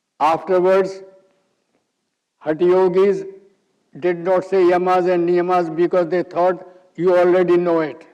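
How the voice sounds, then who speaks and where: Speaking with an Indian accent, a man uses a high pitch and a dark, mellow tone, delivered at a fairly slow pace in monotone, flat intonation with very even loudness and long, frequent pauses. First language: Hindi. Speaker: yoga teacher. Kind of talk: lecture.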